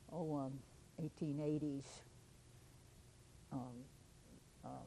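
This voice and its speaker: This woman's voice is very deep and low-pitched, with a dark, mellow tone and a Kentucky accent. Her intonation stays fairly even. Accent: Kentucky Southern. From Simpson County, Kentucky. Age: 80s+. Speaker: local historian. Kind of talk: oral history interview. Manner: halting.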